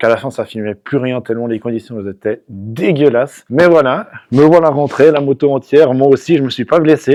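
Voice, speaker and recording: The recording is dry and close, with no echo. A man speaks at a medium pitch with ordinary pitch variation and a dark, mellow tone. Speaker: motorcycle vlogger. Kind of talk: casual vlog commentary while riding. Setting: riding an enduro motorcycle in snow, helmet camera. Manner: animated, exclamatory.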